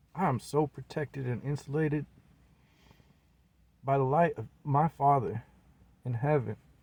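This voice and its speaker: This man speaks at a moderate pace with an American accent, his fairly high, somewhat breathy voice showing ordinary pitch variation and long, frequent pauses, in a dry, close sound with no echo. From US Pacific Northwest, Seattle. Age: 40s. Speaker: independent rapper and video blogger. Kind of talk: personal monologue vlog. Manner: animated.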